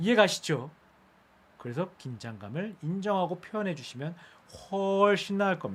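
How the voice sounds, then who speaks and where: The man's voice is high-pitched and animated in tone. His pitch swings very widely. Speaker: speech coach. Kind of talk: live-streamed lecture. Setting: live stream. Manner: fast.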